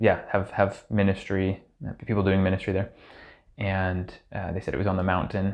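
At a fairly quick pace broken by long, frequent pauses, a man speaks in a very deep, low pitch with monotone, flat intonation. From Hamilton, Ontario, Canada. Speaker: urban ministry worker. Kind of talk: casual interview.

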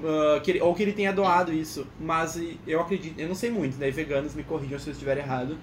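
Talking at a very fast pace over noticeable background noise, a man uses a fairly high pitch with ordinary pitch variation. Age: 20s. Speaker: engineering student. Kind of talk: casual chat.

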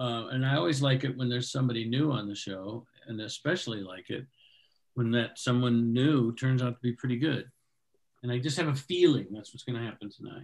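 A man speaks in a normal speaking voice at medium pitch with ordinary pitch variation. His loudness rises and falls in big swings. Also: fairly quick pace. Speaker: open mic host. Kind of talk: comedy show hosting, banter. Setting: video call.

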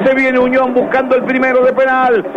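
A man speaks in an extremely high pitch. Background noise is noticeable. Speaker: radio football commentator. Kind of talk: live radio play-by-play of a penalty kick. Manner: suspenseful, steadily building tension before the kick; partisan, openly hoping for the home side.

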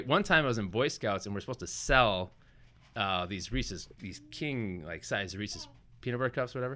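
With an American accent, a man speaks at a fairly quick pace. His tone is bright and sharp, and his intonation is lively. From Wisconsin, US Midwest. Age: 30s. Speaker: entrepreneur. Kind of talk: casual interview. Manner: animated.

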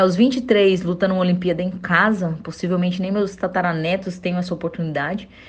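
The woman's voice comes out somewhat breathy. She speaks fairly quickly. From Brazil, interior of Goiás. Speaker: Olympic wrestler. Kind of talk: interview.

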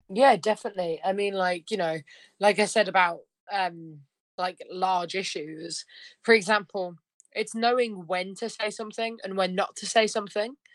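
A woman with a British accent, moderate pace and fairly even intonation. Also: medium pitch for a woman, quiet background. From United Kingdom. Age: 20s. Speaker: country singer-songwriter. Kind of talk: casual interview.

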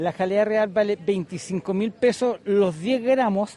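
A man with a high-pitched voice speaks at a fairly slow pace, with ordinary pitch variation. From Chile, Maule region. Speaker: honey producer. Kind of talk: interview at market stall. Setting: outdoors at craft fair.

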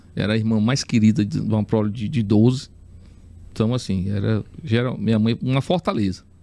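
At a fairly quick pace, a man speaks with a fairly low pitch and fairly even intonation. His voice has a dark, mellow tone. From Teresina, Piauí, Brazil. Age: 40s. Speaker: city councillor. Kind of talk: podcast interview.

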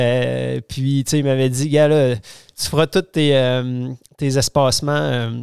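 A man speaks in a monotone with flat intonation. His pitch sits fairly high. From Quebec City, Quebec. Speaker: organic vegetable farming network member. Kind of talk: casual interview. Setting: host's home. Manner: halting.

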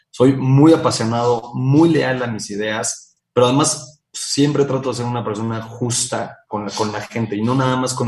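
Somewhat breathy, this man talks at a medium pitch. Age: 30s. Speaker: company founder and CEO. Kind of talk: interview.

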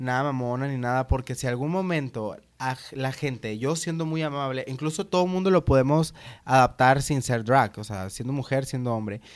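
The recording is very clean, with a silent background. A man with medium pitch and ordinary pitch variation has an unremarkable speaking voice. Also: moderate pace. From Sonora, Mexico (Hermosillo). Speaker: drag performer. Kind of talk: casual chat. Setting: at home.

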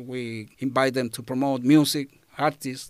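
A fairly slow voice with a Spanish accent, very clean and set against a silent background. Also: man. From Chile. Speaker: community radio presenter. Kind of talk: interview.

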